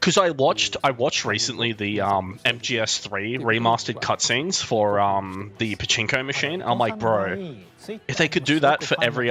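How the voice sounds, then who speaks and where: Over noticeable background noise, a man talks at a moderate pace in a medium pitch with lively intonation. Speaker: streamer reacting to a games showcase. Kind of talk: casual live stream reaction. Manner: animated.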